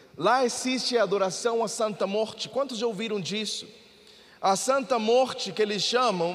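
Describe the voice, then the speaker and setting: A man speaks at a high pitch with ordinary pitch variation. Audible room echo and noticeable background noise are present. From Mexico. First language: Spanish (speaking Portuguese). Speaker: pastor. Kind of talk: sermon.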